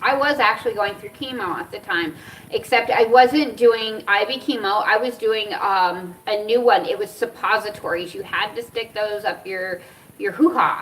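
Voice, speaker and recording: An animated tone with big swings in loudness over noticeable background noise. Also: woman, fairly high pitch for a woman, ordinary pitch variation, moderate pace. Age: 40s. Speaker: cannabis and cancer vlogger. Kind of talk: casual storytelling vlog.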